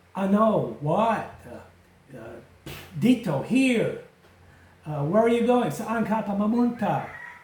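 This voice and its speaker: Audible room echo surrounds a man with an American accent. His high pitch rises and falls with lively intonation. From United States. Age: 70s. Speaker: retired expat vlogger. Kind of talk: casual vlog talk to camera. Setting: outdoors at home garden. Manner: halting, with fillers.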